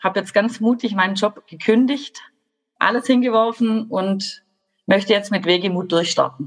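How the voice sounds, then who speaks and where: Using an ordinary speaking voice, a woman talks at a fairly slow pace with medium pitch and ordinary pitch variation. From Baden-Württemberg, Germany. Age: 30s. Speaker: social worker and coach. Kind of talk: podcast interview.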